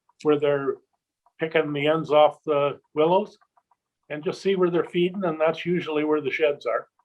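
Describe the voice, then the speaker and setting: A normal speaking voice from a man, fairly high in pitch, at a moderate pace with fairly even intonation. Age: 60s. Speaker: shed hunting guide and video producer. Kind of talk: casual chat.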